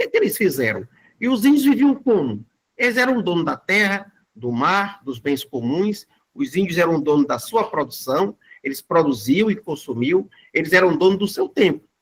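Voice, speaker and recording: A man with a high pitch talks at a moderate pace, his pitch swinging very widely. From Brazil, Fortaleza (Ceará). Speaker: community bank founder, guest lecturer. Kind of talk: lecture.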